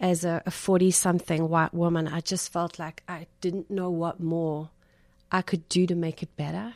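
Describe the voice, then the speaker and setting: A woman speaks at a moderate pace with a fairly low pitch. Her intonation is monotone and flat, and the recording is very clean with a silent background. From South Africa. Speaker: podcast host and discussion leader. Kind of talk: faith-based conversation.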